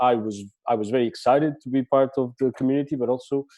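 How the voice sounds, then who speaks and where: In a Portuguese accent, a man with a medium pitch and a dark, mellow tone speaks at a fairly quick pace, the sound dry and close with no echo. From Portugal. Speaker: podcaster and festival director. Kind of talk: talk to a training group. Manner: halting, many fillers.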